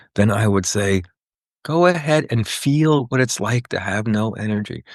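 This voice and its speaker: A man's unremarkable speaking voice, moderate pace and lively intonation against a quiet background. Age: 60s. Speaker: psychotherapist and author. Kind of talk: podcast interview.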